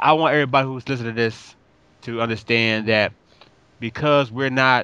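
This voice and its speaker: At a fairly quick pace, a man talks with medium pitch, ordinary pitch variation and a bright, sharp tone. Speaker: podcast co-host. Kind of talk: casual chat.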